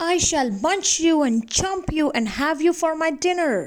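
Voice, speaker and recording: Shouting in a put-on character voice, a woman reaches an extremely high pitch at a moderate pace. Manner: shouting, threatening.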